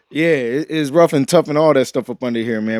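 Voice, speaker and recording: Recorded with a dry, close sound and no echo, a man speaks at a fairly quick pace. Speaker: podcast host. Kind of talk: casual chat. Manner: animated.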